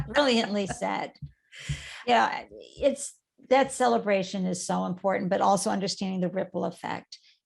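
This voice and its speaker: An unremarkable speaking voice from a woman, medium in pitch, with lively intonation at a moderate pace. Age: 60s. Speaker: startup coach. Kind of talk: interview.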